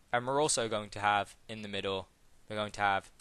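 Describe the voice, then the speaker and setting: Fairly even intonation and a bright, sharp tone from a man. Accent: British. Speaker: programming tutorial youtuber. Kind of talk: tutorial. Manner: casual, with fillers.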